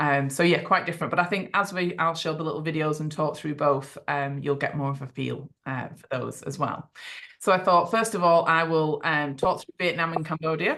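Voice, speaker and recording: A woman with an English accent has a bright, sharp tone and a very deep, low pitch. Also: fairly even intonation, big swings in loudness. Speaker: travel company owner presenting tours. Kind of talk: online presentation to prospective clients. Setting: video call. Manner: fast; many fillers and restarts.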